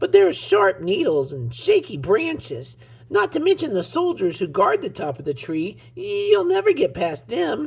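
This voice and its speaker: Using a put-on character voice, a man talks at a moderate pace in a high pitch. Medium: read story. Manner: timid, stammering.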